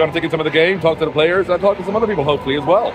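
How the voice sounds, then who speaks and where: Music plays in the background as a man speaks with ordinary pitch variation. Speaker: basketball journalist. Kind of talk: casual vlog chat. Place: hall. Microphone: phone near.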